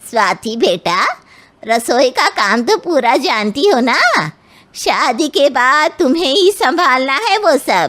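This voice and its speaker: In a cartoonish character voice, a woman speaks at a fairly slow pace with a high pitch that swings very widely. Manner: chatty, ingratiating.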